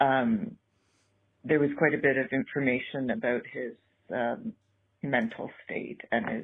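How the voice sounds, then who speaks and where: The speaker talks at a fairly slow pace with a slight Canadian accent, very wide pitch swings, and long, frequent pauses. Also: woman, very deep, low pitch for a woman. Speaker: caller leaving a voicemail. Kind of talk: voicemail message. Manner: hesitant, many ums.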